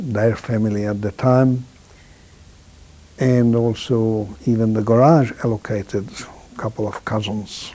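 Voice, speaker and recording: A man's dark, mellow tone with a Hungarian accent and fairly even intonation. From Hungary. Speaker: Holocaust survivor. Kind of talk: testimony.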